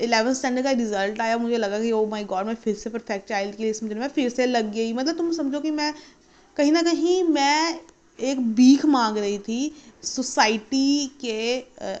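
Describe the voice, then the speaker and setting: A woman's high-pitched voice at a moderate pace. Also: ordinary pitch variation. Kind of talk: casual story time talk to camera.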